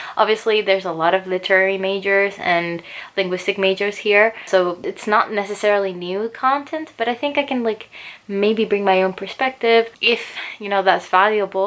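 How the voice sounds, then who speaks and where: With a Spanish accent, a woman speaks at a moderate pace and medium pitch, using ordinary pitch variation. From Chile. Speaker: booktuber and English teacher. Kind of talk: casual chat. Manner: relaxed.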